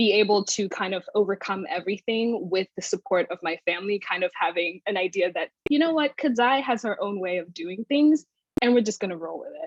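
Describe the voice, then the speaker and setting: A woman with an American accent and an ordinary speaking voice talks at a fairly quick pace with lively intonation and hardly any pauses, in a dry, close sound with no echo. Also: medium pitch for a woman. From outside the US. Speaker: graduate student and panel moderator. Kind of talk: panel discussion.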